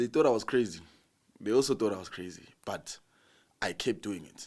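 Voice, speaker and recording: With vocal fry and an animated tone, a fairly low-voiced man talks at a moderate pace, his pitch swinging very widely and his loudness shifting in big swings. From South Africa, Hammanskraal and Soweto. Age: 20s. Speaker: TikTok comedian. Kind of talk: casual interview.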